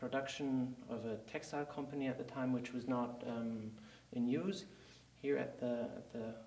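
With a German accent, a man talks at a moderate pace and with ordinary pitch variation, and the room's echo is audible. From Germany. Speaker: company CEO. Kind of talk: interview. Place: studio.

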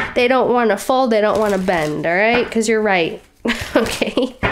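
Noticeable background noise sits behind a woman's voice. She speaks at a moderate pace in a fairly high pitch with ordinary pitch variation. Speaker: tarot reader. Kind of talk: tarot reading. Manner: casual, conversational.

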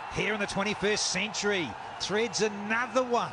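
A man with a high-pitched voice talks at a very slow pace over noticeable background noise. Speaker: cricket commentator. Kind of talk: live commentary. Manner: colourful.

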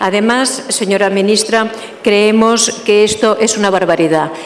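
Over faint background noise, a woman speaks at medium pitch with fairly even intonation. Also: moderate pace.

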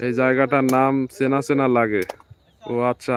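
The voice belongs to a man. His pitch sits in the medium range. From Bangladesh, Jessore. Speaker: farm vlogger. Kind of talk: live stream commentary. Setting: outdoors in a field.

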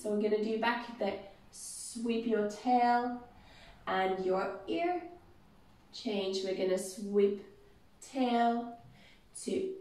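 A woman speaks with long, frequent pauses, and audible room echo surrounds her voice. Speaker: exercise instructor. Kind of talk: exercise class instruction. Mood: playful, encouraging. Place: empty room. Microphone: camera far.

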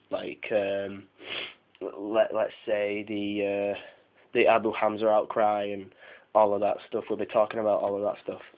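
A man at a very slow pace. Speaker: tech podcaster. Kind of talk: casual podcast talk. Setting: phone recording.

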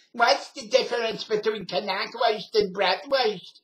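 This is a put-on character voice with a New York accent and fairly high pitch. The pace is fairly slow.

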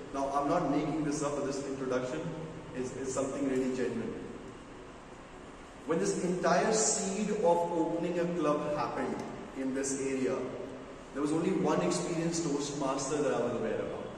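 Strong room echo and noticeable background noise surround a man who speaks at a moderate pace with ordinary pitch variation and long, frequent pauses. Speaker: club meeting host. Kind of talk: meeting speech introduction. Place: hall. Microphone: camera far.

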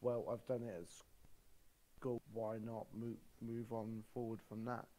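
With a British accent, a man speaks at medium pitch in a dark, mellow tone. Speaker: podcast guest. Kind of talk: casual chat.

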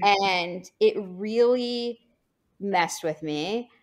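Her medium pitch and lively intonation come through as a woman speaks in a plain, everyday voice. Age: 30s. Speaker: plastic surgeon. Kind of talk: casual panel discussion.

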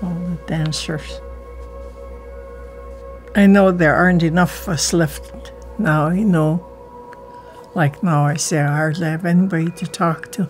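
A woman with an Alaskan accent at a fairly slow pace, long, frequent pauses, and faint music in the background. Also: fairly low pitch for a woman. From Kake, Alaska. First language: Tlingit. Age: old. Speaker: Elder and Tlingit language teacher. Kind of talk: interview answer. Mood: reflective, earnest. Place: home room.

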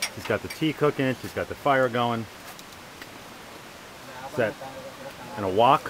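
A man at a moderate pace, with ordinary pitch variation, big swings in loudness and noticeable background noise. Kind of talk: casual travel vlog narration. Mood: cheerful, joking. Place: open country. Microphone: phone near.

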